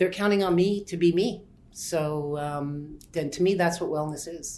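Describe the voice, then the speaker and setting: Audible room echo surrounds a woman's dark, mellow tone. She speaks at a fairly slow pace with fairly even intonation. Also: fairly low pitch for a woman. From Montreal. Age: 50s. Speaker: massage therapist. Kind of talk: interview. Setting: hotel room.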